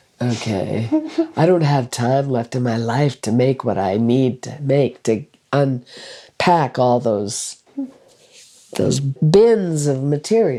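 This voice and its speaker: A woman with a very deep, low pitch and a dark, mellow tone, lively in intonation at a very slow pace. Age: 70s. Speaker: retired school director. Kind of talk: casual chat.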